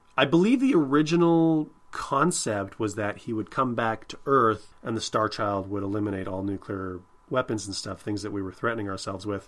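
At a moderate pace, a man with a fairly low pitch and a fairly bright tone speaks with ordinary pitch variation.

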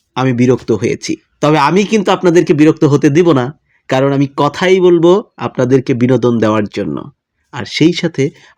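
A man's lively intonation in a dry, close sound with no echo. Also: fairly high pitch for a man. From Bangladesh, Tangail district. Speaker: vlogger. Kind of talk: casual vlog monologue. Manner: animated.

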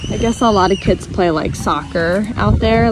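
A woman's voice in a dry sound with no echo, with noticeable background noise. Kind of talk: casual vlog chat. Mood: relaxed, chatty. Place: open country. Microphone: phone near.

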